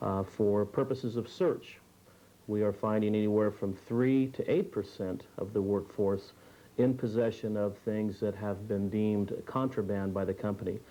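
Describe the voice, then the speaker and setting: A man speaks in a fairly low pitch with a dark, mellow tone. His intonation stays fairly even at a moderate pace. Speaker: drug-in-the-workplace consultant. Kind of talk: interview answer. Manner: hesitant, many filler sounds.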